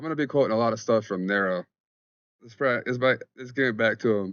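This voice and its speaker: A man's voice, fairly low in pitch. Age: 30s. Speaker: spirituality vlogger. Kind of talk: casual monologue vlog. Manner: fast; informal, halting.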